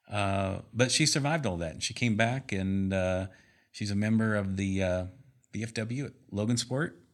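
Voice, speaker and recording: A man with an American accent speaks in a plain, everyday voice at a fairly low pitch and a moderate pace. His pitch varies in an ordinary way, on a very clean recording with a silent background. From US Midwest, Indiana. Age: 50s. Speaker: sales and engineering manager. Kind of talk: casual interview. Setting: studio, in person.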